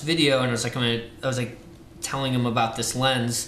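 A man with a medium pitch speaks in an American accent. Light background noise and audible room echo are present. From Ohio. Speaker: film lab worker; video host. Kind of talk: casual chat. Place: home room.

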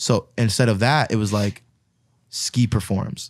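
Against a quiet background, a man speaks at medium pitch in a dry recording with no echo. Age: 20s. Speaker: DJ. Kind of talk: casual chat. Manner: animated. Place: studio. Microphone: studio mic.

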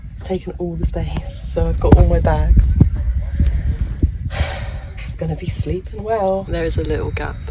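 A woman at a moderate pace, with music in the background. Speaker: solo travel vlogger. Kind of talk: casual vlog chat. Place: train. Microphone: phone near.

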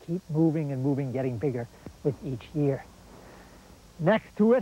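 Man talking at a moderate speed, dry sound without echo. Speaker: garden show host. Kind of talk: tutorial. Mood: warm, enthusiastic. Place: garden. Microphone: lapel.

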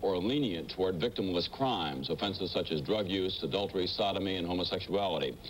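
A man talks at a fairly quick pace. His voice is very deep and low, with light background noise. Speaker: TV show host. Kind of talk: broadcast introduction and quote reading. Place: studio. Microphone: lapel.

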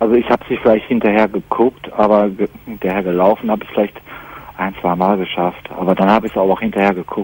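A man's fairly low voice, very fast and monotone, with flat intonation and a dry sound free of echo. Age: 20s. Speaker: caller with jealousy problem; radio caller. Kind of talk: call-in radio talk.

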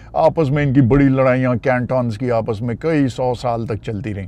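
A man's voice has ordinary pitch variation. The sound is dry, with no echo. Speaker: travel vlogger driving. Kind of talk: casual vlog chat. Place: car.

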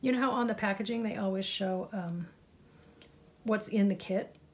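This woman's voice is somewhat breathy, and her intonation stays fairly even. She speaks at a moderate pace. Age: 50s. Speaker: crafting YouTuber. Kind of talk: crafting tutorial. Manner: casual, chatty.

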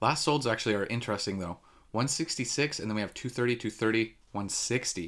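His pitch rises and falls in an ordinary way. The voice is a man's. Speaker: card collecting channel host. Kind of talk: commentary. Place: home room.

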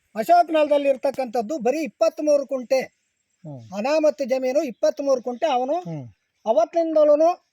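Extremely high-pitched, this man's voice has a dark, mellow tone and ordinary pitch variation. The sound is dry and close with no echo. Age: 70s. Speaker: village elder. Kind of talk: news interview.

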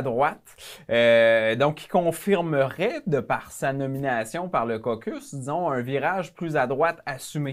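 A man with a fairly high pitch talks at a very slow pace. His intonation is lively, and the background is quiet. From Quebec. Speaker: member of parliament; guest. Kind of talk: casual interview. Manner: halting. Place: studio. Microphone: lapel.

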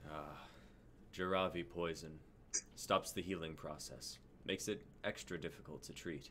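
A man's put-on, gruff character voice, very deep and low, at a moderate pace with long, frequent pauses and clear background noise. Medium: stage play. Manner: calm, reassuring. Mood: warm, practical.

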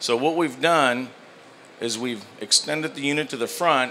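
Light background noise is present. The man talks at a moderate pace. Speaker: presenter. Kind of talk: product demonstration. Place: hall. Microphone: handheld.

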